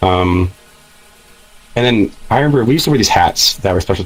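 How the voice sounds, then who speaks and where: A man's fairly quick speech, varying in pitch in an ordinary way, comes against noticeable background noise. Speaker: VR chat user. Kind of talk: casual chat. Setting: VR chat room.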